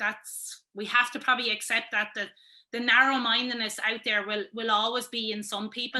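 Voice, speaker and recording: A woman in a Wexford Irish accent, high-pitched with a bright, sharp tone, fairly even intonation and a moderate pace. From Wexford, Ireland. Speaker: sports pundit, former camogie player. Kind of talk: interview answer.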